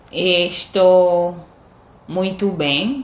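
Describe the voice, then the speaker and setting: Her voice sits at a fairly low pitch for a woman. The recording carries audible room echo. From Haiti. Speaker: language learner. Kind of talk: casual chat.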